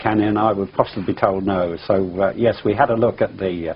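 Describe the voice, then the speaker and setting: Flat, monotone delivery from a man with fairly low pitch at a fairly quick pace, noticeable background noise behind. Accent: English. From England. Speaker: pilot, UFO eyewitness. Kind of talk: interview testimony. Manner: halting, many fillers and restarts.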